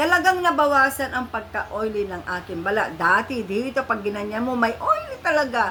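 A woman's high voice with very wide pitch swings at a fairly quick pace, with hardly any pauses and noticeable background noise. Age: 50s. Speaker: beauty vlogger. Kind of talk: product review vlog. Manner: chatty, friendly.

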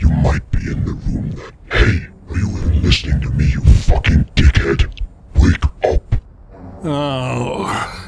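A cartoonish character voice from a man, very deep and low, at a fairly slow pace with long, frequent pauses. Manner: slow, ominous, condescending, suddenly abusive.

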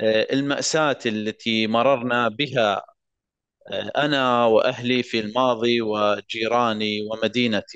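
Spoken at a very slow pace, the voice keeps a very even loudness and fairly even intonation over a quiet background. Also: man, medium pitch for a man. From Iraq, Mosul. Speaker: war survivor and law graduate. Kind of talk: personal testimony speech.

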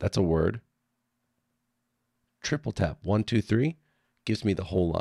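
In a dry, close recording with no echo and a silent background, a man with a fairly low pitch and dark, mellow tone speaks at a fairly slow pace with lively intonation. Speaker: design tutorial creator. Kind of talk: software tutorial narration. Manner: casual, conversational.

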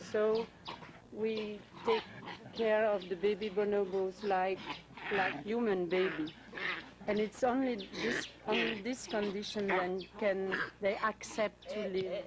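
Against loud background noise, a woman speaks at a fairly slow pace with long, frequent pauses. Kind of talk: interview answer. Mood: earnest, caring. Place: garden.

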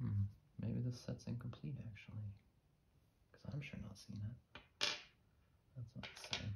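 A soft-spoken man with a fairly low pitch and vocal fry talks in a relaxed, calm tone at a moderate pace, leaving long, frequent pauses amid noticeable background noise. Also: ordinary pitch variation. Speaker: ASMR creator. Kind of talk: ASMR soft-spoken ramble. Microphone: studio mic.

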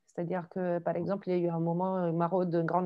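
A woman speaks very fast with an Italian accent, fairly low in pitch. Her intonation is monotone and flat, and the background is quiet. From Italy, Genoa; Italy. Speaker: photojournalist. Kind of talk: video call discussion. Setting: video call. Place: home room. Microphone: earbuds.

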